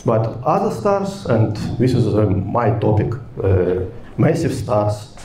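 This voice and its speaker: A man at a very slow pace with lively intonation, audible room echo and light background noise. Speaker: lecturer at a summer school. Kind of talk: lecture. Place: hall. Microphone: handheld.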